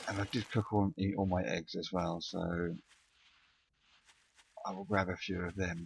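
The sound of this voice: A man mumbles fairly slowly in a low pitch with little pitch movement, vocal fry and a slightly husky edge.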